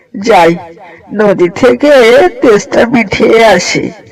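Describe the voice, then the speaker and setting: The speaker uses a cartoonish character voice. The pitch is fairly high. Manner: smug, greedy.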